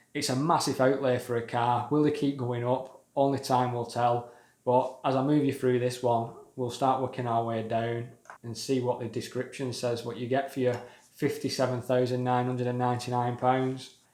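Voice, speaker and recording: The voice has a British accent and monotone, flat intonation. Audible room echo is present. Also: man, medium pitch for a man, moderate pace. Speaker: car enthusiast YouTuber. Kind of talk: casual video commentary.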